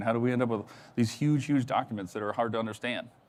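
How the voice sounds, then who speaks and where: A man speaks at a very fast pace. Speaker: cybersecurity presenter. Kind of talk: conference talk. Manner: animated.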